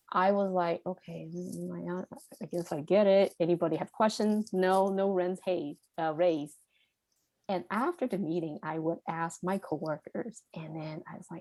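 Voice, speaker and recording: A woman with a Cantonese accent speaks fairly slowly in a dark, mellow tone with ordinary pitch variation. The sound is dry and close, with no echo. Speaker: podcast guest. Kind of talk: interview conversation. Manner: halting, with self-corrections.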